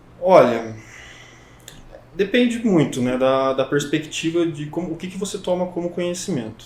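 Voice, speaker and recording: At a moderate pace, a high-pitched man speaks with lively intonation and long, frequent pauses. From Brazil, São Paulo state (Avaré). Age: 20s. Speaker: psychology student. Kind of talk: podcast interview. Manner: hesitant, many fillers.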